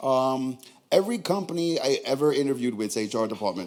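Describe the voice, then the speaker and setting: With a strong New York accent, a man talks in an animated tone full of very wide pitch swings. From New York, Queens. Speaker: stand-up comedian. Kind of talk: stand-up. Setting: stage with audience.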